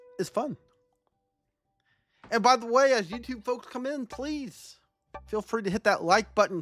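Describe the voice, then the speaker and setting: With an American accent, a woman talks at a moderate pace. Music plays in the background. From Texas. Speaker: game streamer. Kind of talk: live game commentary with chat. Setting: live stream. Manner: halting, many fillers and repetitions.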